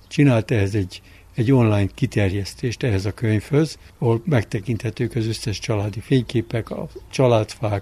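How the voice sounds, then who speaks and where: Somewhat breathy, a man speaks at a moderate pace with a dark, mellow tone, medium pitch and ordinary pitch variation. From Budapest, Hungary. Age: 70s. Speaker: winemaker. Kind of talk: interview. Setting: outdoors on a terrace.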